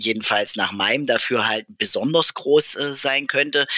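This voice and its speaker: The man's tone is bright and sharp. He talks at a fairly slow pace with fairly even intonation. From Saxony-Anhalt, Merseburg. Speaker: podcast host and politician. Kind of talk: interview. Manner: hesitant, many filler sounds.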